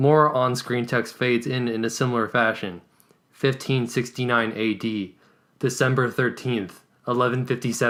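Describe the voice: What you hear is plain reading aloud.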